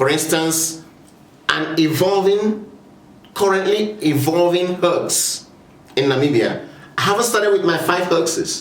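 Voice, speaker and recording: Against noticeable background noise and audible room echo, a man with a Nigerian accent speaks at a fairly slow pace with long, frequent pauses, a high pitch, ordinary pitch variation and very even loudness. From Nigeria (Igbo). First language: Igbo. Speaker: video essayist on land issues. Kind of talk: informal talk to camera. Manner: hesitant, with frequent fillers.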